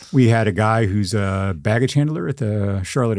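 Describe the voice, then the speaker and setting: The man's delivery has lively intonation, a fairly low pitch and a plain, everyday voice. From Texas panhandle. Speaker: journalist and writer. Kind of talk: interview.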